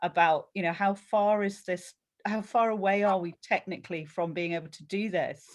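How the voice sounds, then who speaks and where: Moderate pace, an unremarkable speaking voice. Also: woman, very clean recording, silent background. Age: 60s. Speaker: book club member. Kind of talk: casual chat.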